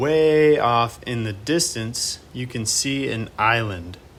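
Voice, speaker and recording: With an American accent, a man speaks at a very slow pace in a medium pitch. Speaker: English teacher. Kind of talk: slow, clear English learning vlog. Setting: outdoors. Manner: slow, clear.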